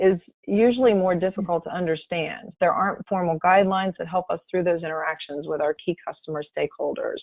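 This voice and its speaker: Talking at a very fast pace with hardly any pauses, a woman keeps a medium pitch and ordinary pitch variation. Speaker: health economics consultant. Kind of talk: webinar presentation.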